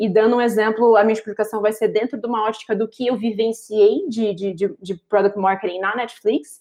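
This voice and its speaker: The voice has a dark, mellow tone and moves at a fairly quick pace. There are hardly any pauses. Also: woman, fairly high pitch for a woman, fairly even intonation. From Rio de Janeiro, Brazil. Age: 30s. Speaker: marketing professional. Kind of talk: interview. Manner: articulate.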